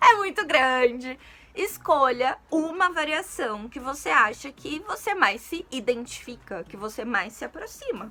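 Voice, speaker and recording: A woman's high voice in a strong São Paulo accent, relaxed and fairly slow, with very wide pitch swings, big swings in loudness and noticeable background noise. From São Paulo city, Brazil. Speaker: Portuguese teacher, youtuber. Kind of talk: casual educational chat to camera. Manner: informal, relaxed.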